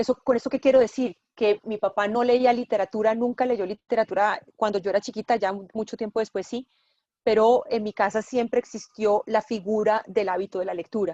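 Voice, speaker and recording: Her dark, mellow tone and fairly even intonation come at a fairly quick pace, and the woman's sound is dry and close with no echo. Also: fairly high pitch for a woman. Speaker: journalist and bookshop owner. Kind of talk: interview.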